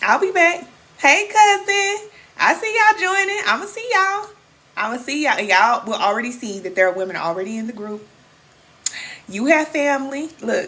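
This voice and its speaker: A woman with an American accent uses a raised, projected voice at a high pitch, with very wide pitch swings. Her tone is animated, and her loudness swings a lot. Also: moderate pace. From Kansas City, Missouri. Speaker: spiritual coach. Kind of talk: livestream chat with viewers. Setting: live stream.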